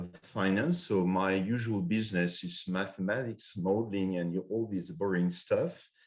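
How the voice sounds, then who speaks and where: A man talks at a moderate pace with a French accent. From France. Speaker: finance professor. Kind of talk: conference presentation. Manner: halting, many fillers and restarts.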